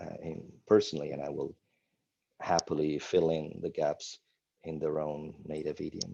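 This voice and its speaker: This man talks at a moderate pace with an Italian accent. His loudness swings widely. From Italy (Milan). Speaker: spiritual teacher. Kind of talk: interview. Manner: animated.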